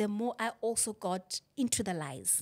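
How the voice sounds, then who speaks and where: A woman speaks at a very slow pace over a quiet background. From South Africa, Rustenburg and Johannesburg; South Africa. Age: 40s. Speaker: author and mother; podcast guest. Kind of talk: interview about personal life. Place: studio. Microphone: studio mic.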